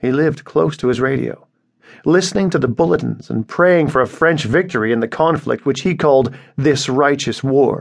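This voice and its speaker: A man speaks at a fairly high pitch with vocal fry. His pace is moderate and his pitch variation ordinary. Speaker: audiobook narrator. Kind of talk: dramatic literary narration, reading a short story aloud. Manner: measured, grave storytelling pace; somber, sorrowful tone for scenes of persecution.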